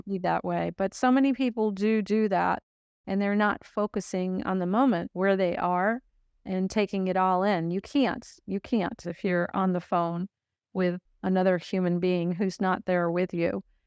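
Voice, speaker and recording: A woman with an unremarkable speaking voice talks at a medium pitch and moderate pace with fairly even intonation. The sound is dry and close with no echo, against a quiet background. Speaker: podcast host. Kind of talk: casual podcast conversation.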